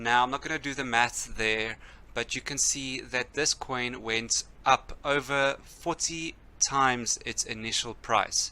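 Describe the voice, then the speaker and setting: A man's bright, sharp, medium-pitched voice, fairly slow, with fairly even intonation. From South Africa. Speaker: cryptocurrency youtuber. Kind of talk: casual explainer video.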